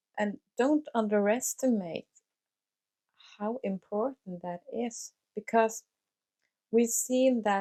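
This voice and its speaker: Her tone is dark and mellow, in a Norwegian accent. The woman talks at a very slow pace with fairly even intonation. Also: dry, close sound with no echo. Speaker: life coach / vlogger. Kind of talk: motivational talk to camera. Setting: home recording with mic and camera. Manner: hesitant, many fillers.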